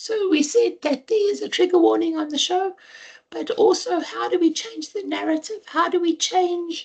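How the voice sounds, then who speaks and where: A woman's extremely high voice at a moderate pace, with ordinary pitch variation. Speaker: radio health show host. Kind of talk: radio interview.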